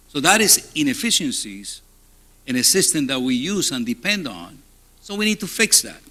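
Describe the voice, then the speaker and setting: A man speaks with a Spanish accent and very wide swings in pitch. His loudness also rises and falls sharply. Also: moderate pace. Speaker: hospital CEO. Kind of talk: conference keynote talk. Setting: stage with audience.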